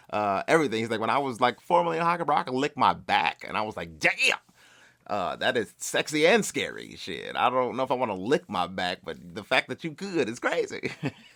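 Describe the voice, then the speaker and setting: Talking at a very fast pace, a man with a medium pitch uses very wide pitch swings in a bright, sharp, animated tone. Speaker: comedian and podcast host. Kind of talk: casual solo podcast monologue. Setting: home recording alone with mic. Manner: halting, tongue-tied with many fillers.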